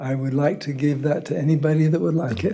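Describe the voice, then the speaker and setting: A man with a fairly high pitch is heard with audible room echo. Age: 70s. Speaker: property owner addressing city council. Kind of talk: public meeting testimony. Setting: city council meeting.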